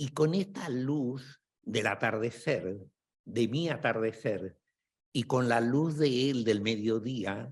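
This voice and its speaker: This man speaks at a very slow pace. His pitch sits in the medium range, with ordinary pitch variation. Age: 70s. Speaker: psychotherapist and book author. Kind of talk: book presentation dialogue. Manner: halting.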